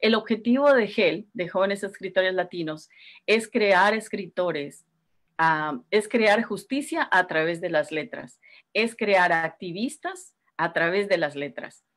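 Lively intonation carries through at a very slow pace. The background is quiet. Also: woman, medium pitch for a woman. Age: 50s. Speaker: writer and community organizer; guest. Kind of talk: casual interview. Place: home room. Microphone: video call.

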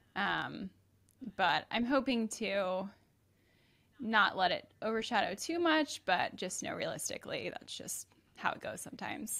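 A woman's fairly high, bright, sharp voice with vocal fry and lively intonation, at a fairly slow pace with long, frequent pauses. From Atlanta, Georgia; Georgia. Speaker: comedian's wife. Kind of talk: casual chat. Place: studio. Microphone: studio mic.

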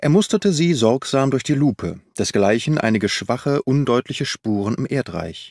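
A man talks at a fairly slow pace with vocal fry, big pitch swings, and a slightly mellow tone. The very clean recording has a silent background and a dry, close sound with no echo. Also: medium pitch for a man.

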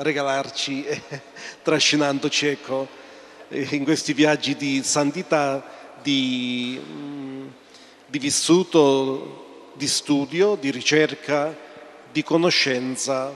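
A man's fairly high voice, monotone and flat, broken by long, frequent pauses. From Calabria, Cassano allo Ionio; Calabria, Italy. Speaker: priest, sanctuary rector; priest speaking at book presentation. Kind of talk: short speech. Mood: warm, appreciative. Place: church. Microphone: handheld.

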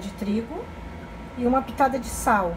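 Noticeable background noise behind a woman's fairly slow speech, her pitch varying in an ordinary way. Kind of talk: casual cooking vlog narration. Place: kitchen. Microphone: phone near.

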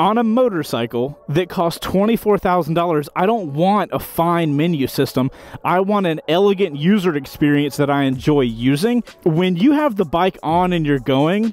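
The sound is dry, with no echo. A man speaks at a moderate pace. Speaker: motorcycle reviewer. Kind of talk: product review commentary. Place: street. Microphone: camera far.

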